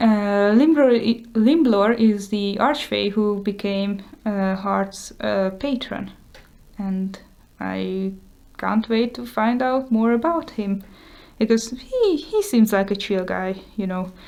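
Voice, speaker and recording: A woman speaks at a very slow pace with a Hungarian accent. Her medium pitch shows ordinary variation. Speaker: YouTuber and artist. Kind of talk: show-and-tell tutorial. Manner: casual, hesitant with many fillers.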